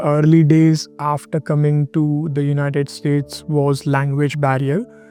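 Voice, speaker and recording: Music plays in the background. The speech moves at a fairly slow pace. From India, Mumbai. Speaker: finance analyst, immigrant interviewee. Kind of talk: documentary interview.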